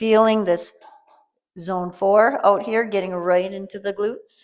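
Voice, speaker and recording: Showing big swings in loudness, a woman with an ordinary speaking voice talks at a medium pitch with fairly even intonation. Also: fairly slow pace. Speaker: fitness instructor. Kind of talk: guided workout tutorial.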